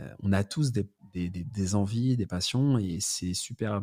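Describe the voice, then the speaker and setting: The recording is very clean, with a silent background. A man with a fairly low pitch and a dark, mellow tone speaks with ordinary pitch variation. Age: 30s. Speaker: entrepreneur and content creator. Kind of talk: casual podcast interview.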